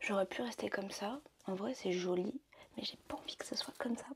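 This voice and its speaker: A soft-spoken woman at a moderate pace. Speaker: vlogger. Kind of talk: casual vlog talk. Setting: at home getting ready. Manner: hesitant, many fillers.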